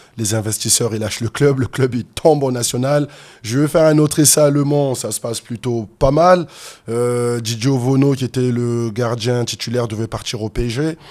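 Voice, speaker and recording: A man speaks at a moderate pace with medium pitch and ordinary pitch variation, in an ordinary speaking voice. The recording is very clean, with a silent background. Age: 30s. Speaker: fitness and MMA coach. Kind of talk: interview, personal story. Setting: podcast studio.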